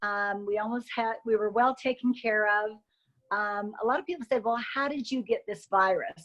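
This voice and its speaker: A woman with an American accent and an ordinary speaking voice, fairly high in pitch with ordinary pitch variation, at a moderate pace against a quiet background. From Utah (Logan). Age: 60s. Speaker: coronavirus patient. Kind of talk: interview.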